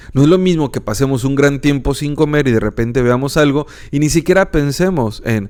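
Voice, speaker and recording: At a fairly quick pace, a man talks with a fairly high pitch and ordinary pitch variation. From northern Mexico. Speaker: philosophy podcaster and teacher. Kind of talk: educational podcast lecture. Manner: calm, relaxed.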